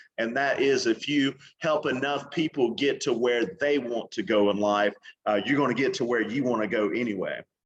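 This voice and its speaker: A man's medium-pitched voice at a moderate pace, with ordinary pitch variation and very even loudness. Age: 40s. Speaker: real estate entrepreneur and author. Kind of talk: interview. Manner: halting, many fillers.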